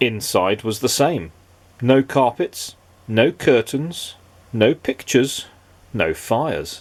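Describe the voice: The text is read aloud plainly. Nothing more is done with it.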